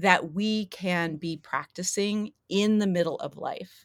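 A woman speaks at a fairly slow pace, her pitch medium with ordinary variation. It's a plain, everyday voice, recorded very cleanly against a silent background. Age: 50s. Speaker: spiritual mentor and yoga teacher. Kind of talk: casual chat.

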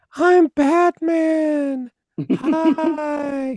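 In a put-on character voice, a man sounds squeaky and extremely high in pitch. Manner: flat, lifeless.

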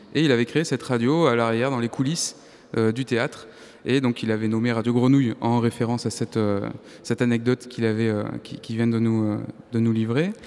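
An unremarkable speaking voice from a man at medium pitch, fairly even in intonation and at a fairly quick pace. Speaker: radio host. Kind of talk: live public radio show. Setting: live in arts centre hall with audience.

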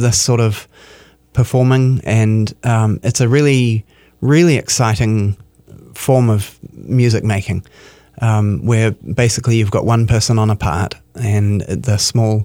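Speaking slowly-ish with a New Zealand accent, a man's dark, mellow voice sits at medium pitch, with very even loudness and ordinary pitch variation. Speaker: artistic director of a chamber music series. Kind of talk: radio interview. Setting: radio studio.

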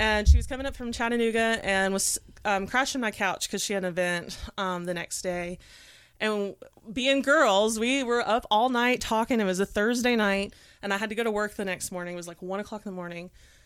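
A woman talks at a fairly quick pace with an East Tennessee accent and a fairly high pitch. Her pitch varies an ordinary amount, and the recording is very clean with a silent background. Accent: Southern US (East Tennessee). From East Tennessee (Knoxville). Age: 30s. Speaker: astrologer and makeup artist. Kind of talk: casual chat.

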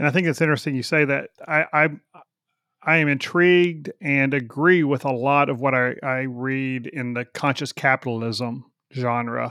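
A man speaks in a plain, everyday voice at a medium pitch. He goes at a moderate pace with fairly even intonation. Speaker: podcast host. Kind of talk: casual interview conversation.

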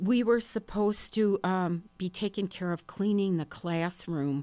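In a very clean recording with a silent background, a woman with an American accent speaks very slowly at a medium pitch with ordinary pitch variation. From northern Wisconsin, small town. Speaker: writer and stand-up comedian. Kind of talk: casual interview chat.

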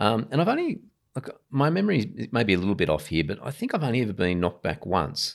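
At a very fast pace, a man in an Australian accent talks with very wide pitch swings on a very clean recording with a silent background. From Sydney, Australia (Ryde). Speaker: Baptist pastor. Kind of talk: interview conversation. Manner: hesitant, many ums.

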